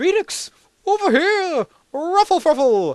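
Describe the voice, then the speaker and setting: The pitch is extremely high. It belongs to a put-on character voice. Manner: muffled, mouth full.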